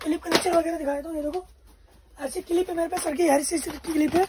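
A man's extremely high-pitched voice, slightly mellow in tone, with fairly even intonation and a fast pace

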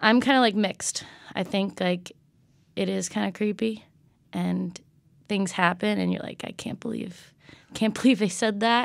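Against a silent background in a very clean recording, a woman talks with long, frequent pauses. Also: moderate pace. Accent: American. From Connecticut. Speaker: tarot card reader. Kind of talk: casual chat.

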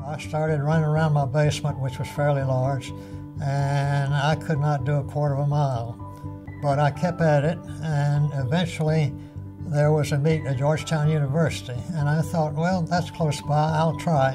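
Over clear background music, a man with an American accent speaks at a moderate pace in a fairly high voice. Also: ordinary pitch variation. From United States. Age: 80s+. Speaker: lawyer and war veteran. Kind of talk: interview answer. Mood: warm, reminiscing. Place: office.

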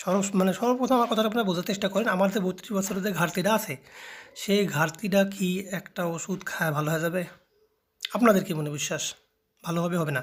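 Ordinary pitch variation in a man's high voice. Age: 30s. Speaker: herbal healer and video channel host. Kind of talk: informal health advice vlog. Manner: halting.

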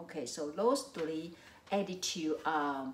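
A woman speaks at a fairly low pitch and a very slow pace. Light background noise and audible room echo can be heard. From Taiwan. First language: Mandarin. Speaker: psychology professor. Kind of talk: lecture. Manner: hesitant with frequent fillers. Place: home room.

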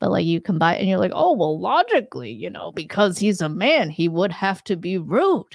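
Vocal fry runs through this lively, moderately paced delivery, recorded dry with no echo against a quiet background. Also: woman. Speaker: livestream host. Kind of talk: casual livestream talk about critical thinking. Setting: online livestream. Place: studio. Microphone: studio mic.

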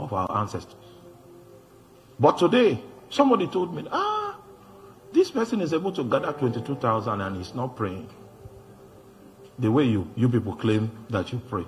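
With faint music in the background, a man speaks with long, frequent pauses. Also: moderate pace. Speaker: preacher. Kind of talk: sermon. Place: church. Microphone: handheld.

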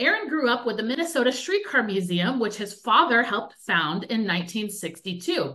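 A woman speaks at a moderate pace in a fairly high pitch. Her pitch swings very widely. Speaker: museum public programs manager. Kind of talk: webinar hosting. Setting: video call. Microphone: webcam.

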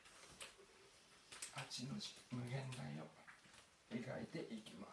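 A man talks over noticeable background noise. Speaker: exercise instructor. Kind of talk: tutorial. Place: home room. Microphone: camera far.

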